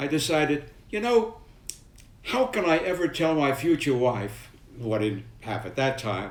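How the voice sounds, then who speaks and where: At a moderate pace, a man with a New York accent speaks at a fairly high pitch in very wide pitch swings, with audible room echo. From New York City (Manhattan, Brooklyn). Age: 90s. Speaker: war veteran. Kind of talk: personal storytelling to camera.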